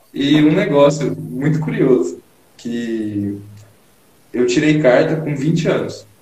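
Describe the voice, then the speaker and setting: A man's fairly high voice with ordinary pitch variation, a very slow pace and long, frequent pauses, plus audible room echo and noticeable background noise. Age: 20s. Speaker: engineering student and bodybuilder. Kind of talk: casual interview on live stream. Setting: Instagram live video call.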